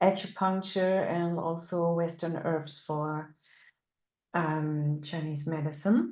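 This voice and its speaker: Someone with a German accent speaks at a very slow pace with fairly even intonation. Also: woman, fairly low pitch for a woman. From Germany. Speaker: animal communicator and energy work teacher. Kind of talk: webinar lecture. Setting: online webinar. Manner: halting with many fillers.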